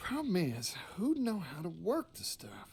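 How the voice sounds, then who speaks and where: Putting on a drawling character voice, a man speaks high-pitched at a fairly slow pace. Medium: video game. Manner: folksy, drawling.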